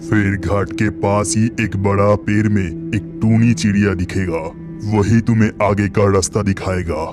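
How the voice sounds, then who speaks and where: Using a cartoonish character voice, a man speaks at a fairly low pitch and a fairly slow pace over clear music in the background. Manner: calm, authoritative.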